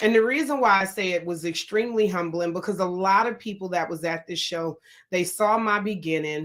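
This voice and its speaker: A woman with a New Jersey accent, medium in pitch, animated in tone, at a moderate pace. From Newark, New Jersey. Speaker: podcast host. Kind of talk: motivational podcast talk.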